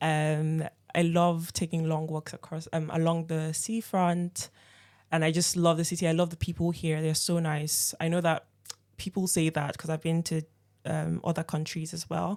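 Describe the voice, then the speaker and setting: With a slight Nigerian accent, a woman of fairly low pitch speaks at a moderate pace in a monotone, flat intonation. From Nigeria, Lagos. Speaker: operations team member. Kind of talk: casual chat.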